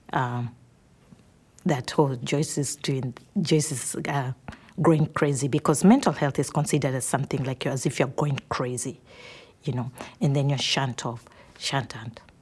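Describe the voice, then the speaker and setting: A woman's very deep, low voice, somewhat breathy, with fairly even intonation, a moderate pace and long, frequent pauses. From Kenya. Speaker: nurse. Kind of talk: interview testimony. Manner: halting.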